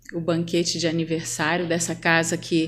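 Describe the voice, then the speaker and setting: With a Rio de Janeiro accent, a woman speaks at a fairly slow pace in a fairly low pitch, and audible room echo surrounds her voice. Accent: Rio de Janeiro accent with chiado. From Rio de Janeiro, Brazil. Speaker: spiritist lecturer. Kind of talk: spiritist lecture.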